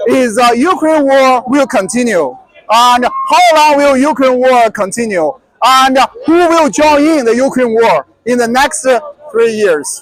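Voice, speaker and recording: A man with a non-native accent speaks fairly slowly in an extremely high voice, with ordinary pitch variation. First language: not English. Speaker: commentator answering questions on the war. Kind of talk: casual conversation / commentary. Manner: halting, many fillers.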